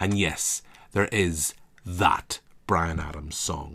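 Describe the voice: A man with a Northern Irish accent speaks slowly at a low pitch, his tone fairly bright with a slightly husky edge and vocal fry. The recording is very clean, with a silent background. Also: ordinary pitch variation.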